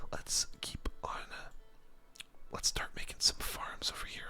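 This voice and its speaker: A man whispers slowly, at a fairly slow pace, as noticeable background noise carries on behind him. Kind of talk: gaming commentary, casual talk while playing. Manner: relaxed, conversational.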